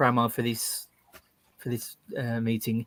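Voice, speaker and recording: Medium-pitched male voice in a West Midlands accent. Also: dry, close sound with no echo. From West Midlands, England. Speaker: YouTuber and carpenter. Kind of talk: interview answers.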